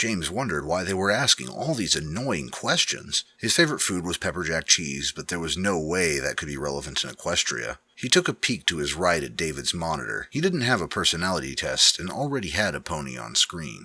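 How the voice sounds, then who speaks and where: A man speaks at a fairly quick pace with hardly any pauses, his very deep, low voice carrying vocal fry, very wide pitch swings and a bright, sharp tone. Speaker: audiobook / dramatic reading narrator. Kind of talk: narrated fiction, reading a story prologue.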